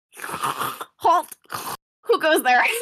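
The voice is gruff and put-on, like a character. Its pitch is extremely high. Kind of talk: archaic, commanding. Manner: silly, gruff.

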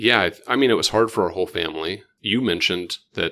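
Speaking fairly quickly with an American accent, a man has a bright, sharp tone and ordinary pitch variation. The recording is very clean and the background silent. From Oklahoma (Edmond). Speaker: pediatric intensive care physician. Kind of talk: casual interview.

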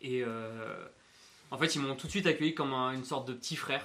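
A man speaks at medium pitch with a bright, sharp tone. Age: 20s. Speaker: podcast co-host, flatmate, events worker. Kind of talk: casual chat.

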